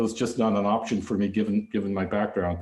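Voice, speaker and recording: A man with a Canadian accent speaks amid audible room echo. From Canada, Vancouver area (British Columbia). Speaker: visual artist. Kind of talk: lecture. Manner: halting, many fillers and restarts.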